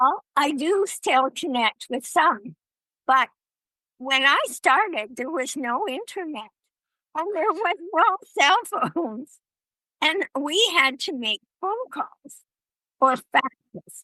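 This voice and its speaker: Using a raised, projected voice with a bright, sharp tone, a woman speaks very slowly at a high pitch, her pitch swinging very widely between long, frequent pauses. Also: dry, close sound with no echo. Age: 80s+. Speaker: traveler and author. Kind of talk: interview.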